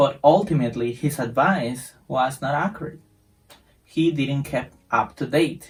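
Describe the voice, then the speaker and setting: Somewhat breathy and fairly high-pitched, a man with a Spanish accent talks at a fairly slow pace with ordinary pitch variation. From Costa Rica. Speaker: English teacher. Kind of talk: casual introduction to viewers. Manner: halting, some repetitions.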